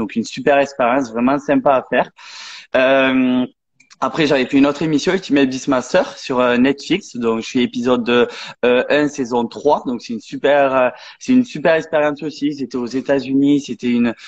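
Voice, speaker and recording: A man's normal speaking voice, fairly high in pitch, at a moderate pace with fairly even intonation. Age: 20s. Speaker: athlete and sports coach. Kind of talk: interview. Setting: live online stream.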